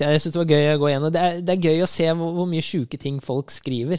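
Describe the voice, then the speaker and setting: The speech runs at a very fast pace with hardly any pauses. Intonation is fairly even, and the sound is dry and close with no echo. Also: man. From Norway, Rælingen (east of Oslo). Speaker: podcast co-host. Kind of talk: casual chat.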